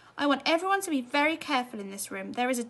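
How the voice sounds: A woman races along at a very fast pace in a put-on character voice, high-pitched and fairly bright, with big swings in pitch.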